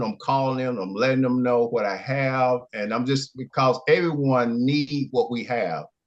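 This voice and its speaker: A man with an Alabama accent, at a medium pitch and a moderate pace. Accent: Southern US (Alabama). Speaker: product testimonial giver. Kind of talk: testimony. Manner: halting.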